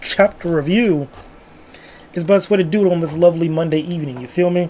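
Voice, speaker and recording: A man talks at a very fast pace with a high pitch and ordinary pitch variation over noticeable background noise. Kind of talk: casual book review talk to camera. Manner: casual, rambling.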